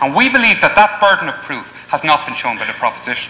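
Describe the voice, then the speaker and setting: Over noticeable background noise, a man with an Irish accent speaks at a very fast pace. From Ireland. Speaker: university debater. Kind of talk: competitive debate speech. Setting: parliament chamber with audience. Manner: formal.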